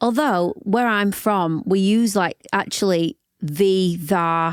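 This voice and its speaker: A woman with a Yorkshire accent speaks very slowly at a medium pitch, with ordinary pitch variation and very even loudness. The recording is very clean, dry and close, with a silent background and no echo. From northern England, Yorkshire (Barnsley). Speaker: singer-songwriter and worship leader. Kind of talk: podcast interview. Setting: studio.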